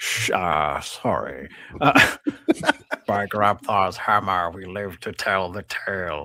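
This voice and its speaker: A man puts on a character voice at a very deep, low pitch. He talks at a fairly slow pace. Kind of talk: live script read.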